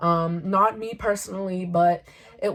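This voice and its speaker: Speaking with fairly even intonation, a woman has an unremarkable speaking voice pitched in the medium range. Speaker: YouTuber. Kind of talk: vlog monologue.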